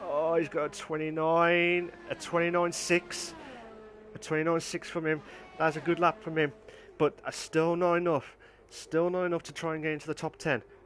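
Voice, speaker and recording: Music plays in the background as a man speaks at a moderate pace. His pitch is high, and his intonation is monotone and flat. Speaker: sim racing league host and commentator. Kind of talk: live commentary. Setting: live stream. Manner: halting, with many fillers.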